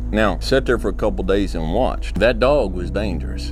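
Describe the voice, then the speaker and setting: Music plays in the background behind a man's voice. He speaks at a moderate pace with an American accent. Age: middle-aged. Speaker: motivational speaker. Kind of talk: motivational speech.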